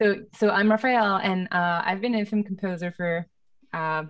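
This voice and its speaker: A woman speaks with a French accent at a fairly slow pace. Her pitch sits in the medium range, and the background is quiet. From France. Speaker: film composer. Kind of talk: panel discussion. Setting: video call. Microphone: studio mic.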